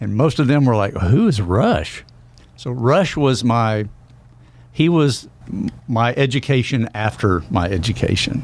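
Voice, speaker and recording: Here a man talks at a fairly slow pace. His intonation is lively. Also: medium pitch for a man. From Oklahoma. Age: 60s. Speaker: country musician turned Senate candidate. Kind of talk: radio interview.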